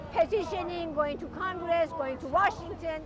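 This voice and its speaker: Amid crowd noise and audible room echo, a woman talks at an extremely high pitch with lively intonation. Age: 70s. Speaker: climate protester. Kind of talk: street interview.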